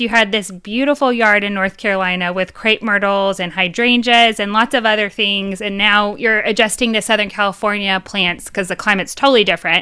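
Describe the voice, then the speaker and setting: This woman has a normal speaking voice with a fairly high pitch. She talks at a moderate pace. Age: 30s. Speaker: podcast co-host. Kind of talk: casual chat.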